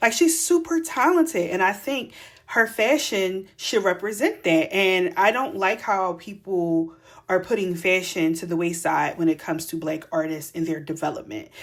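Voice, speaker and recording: With a Philadelphia accent, a woman speaks at a medium pitch and a moderate pace, using lively intonation. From Philadelphia, US. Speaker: fashion stylist and podcast host. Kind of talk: casual commentary monologue. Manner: casual, conversational.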